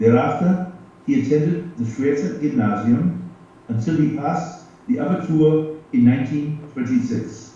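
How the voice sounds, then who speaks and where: A man with an American accent speaks with very wide pitch swings. Room echo is audible, and there is noticeable background noise. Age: 80s+. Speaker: retired geography professor. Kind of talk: prepared speech.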